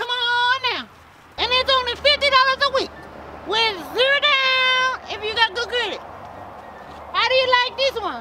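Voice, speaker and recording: Put on as a character voice, the speech has an extremely high pitch and a moderate pace, broken by long, frequent pauses. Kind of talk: improvised comedy skit, mock car-lot commercial pitch. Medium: role play.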